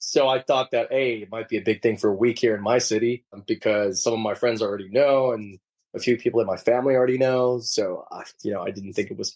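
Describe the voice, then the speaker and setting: Speaking very fast with an American accent, a man uses ordinary pitch variation. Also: big swings in loudness. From Sweden (Gothenburg) and Liverpool, England. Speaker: professional footballer. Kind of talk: interview.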